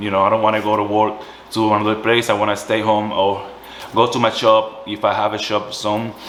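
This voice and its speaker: Background noise is noticeable. Room echo is audible too. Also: man. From Puerto Rico. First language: Spanish. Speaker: small business owner, candle maker. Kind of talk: tutorial. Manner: halting, self-correcting.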